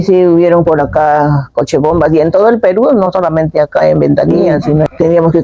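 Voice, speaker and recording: A woman speaks at a fairly quick pace with a fairly low pitch. Noticeable background noise sits behind her. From northern Peru, Piura. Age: 70s. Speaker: interviewee, homemaker. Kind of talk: oral history testimony. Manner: halting, with fillers.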